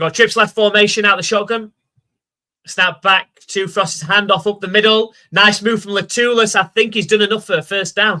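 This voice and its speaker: With a Yorkshire accent, the speaker projects a bright, sharp voice at a moderate pace with fairly even intonation. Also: man, high pitch for a man. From South Yorkshire, England (Rotherham). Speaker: live stream commentator. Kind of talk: live commentary.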